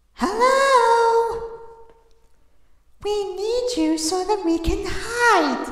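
A put-on character voice at an extremely high pitch, delivered at a very slow pace with clear echo. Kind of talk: voice impressions of game characters.

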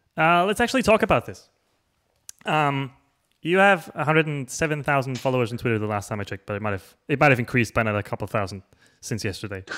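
A man talks at a very fast pace. His pitch swings very widely over a quiet background. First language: not English. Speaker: show host. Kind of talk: casual interview. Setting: video call. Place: home room. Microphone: studio mic.

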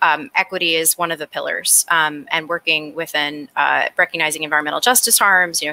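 With an American accent, a woman talks at a fairly quick pace in a bright, sharp tone, her pitch fairly low and her intonation fairly even, in a dry, close sound with no echo. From New York City (Brooklyn). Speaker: climate nonprofit director. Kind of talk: panel discussion.

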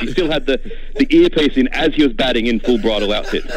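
A man with an Australian accent talks at a very fast pace over noticeable background noise. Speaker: cricket writer. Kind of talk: radio interview. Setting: phone call.

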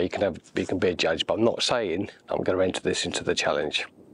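At a fairly quick pace, a man talks with an English accent. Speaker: landscape photographer. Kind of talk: thinking aloud while working, tutorial commentary. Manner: hesitant, musing.

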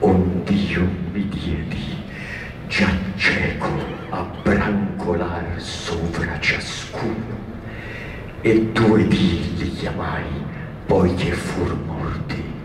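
Over noticeable background noise and audible room echo, a man with a very deep, low pitch speaks at a very slow pace in fairly even intonation, with long, frequent pauses. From Italy. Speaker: actor. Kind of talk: poetry reading. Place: stage.

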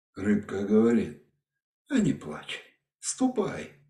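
A man is speaking. The room echo is audible and the background is quiet. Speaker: storyteller. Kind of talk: fairy tale reading. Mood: calm, measured narration. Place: home room. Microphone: webcam.

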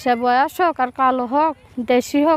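A woman speaks at a high pitch, recorded with a dry, close sound and no echo. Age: young. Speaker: woman seeking a marriage partner. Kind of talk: street interview appeal.

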